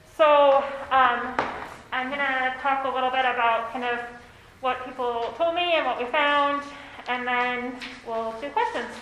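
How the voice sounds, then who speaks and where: A woman with an American accent speaks loudly at a high pitch, fairly slowly and with fairly even intonation, leaving long, frequent pauses. There is audible room echo and noticeable background noise. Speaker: consultant. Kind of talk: presentation. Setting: meeting room.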